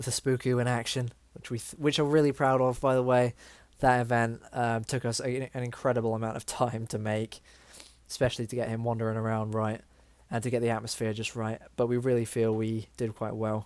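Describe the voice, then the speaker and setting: Talking at a fairly quick pace, a man keeps a medium pitch and a monotone, flat intonation. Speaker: game developer. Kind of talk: tutorial. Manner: fast.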